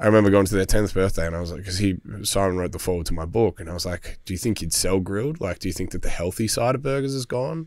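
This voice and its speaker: A man with an Australian accent and fairly low pitch, talking at a very fast pace with hardly any pauses and lively intonation, dry sound with no echo, and a quiet background. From Melbourne, Australia. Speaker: hospitality business owner; podcast guest. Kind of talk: casual chat. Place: studio. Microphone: studio mic.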